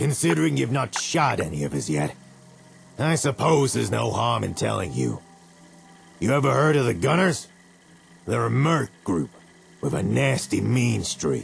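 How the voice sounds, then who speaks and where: Putting on a raspy character voice, a man speaks at a moderate pace with a very deep, low pitch, very wide pitch swings and long, frequent pauses. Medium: video game. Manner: blunt, skeptical.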